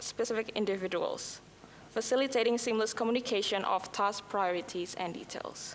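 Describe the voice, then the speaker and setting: The woman has an Indonesian accent. She keeps a moderate pace with ordinary pitch variation. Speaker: conference presenter. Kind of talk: conference presentation.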